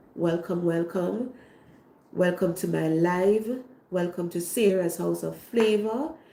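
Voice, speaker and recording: Audible room echo surrounds a woman with a Jamaican accent who speaks very slowly in a dark, mellow tone. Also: fairly low pitch for a woman, ordinary pitch variation. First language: Jamaican Patois. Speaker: cooking channel host. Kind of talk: livestream talk to viewers. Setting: online livestream.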